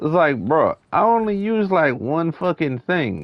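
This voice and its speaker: A man speaks loudly. His pace is fairly slow. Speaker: gaming streamer. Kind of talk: live gameplay commentary. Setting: live stream. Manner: casual, profane.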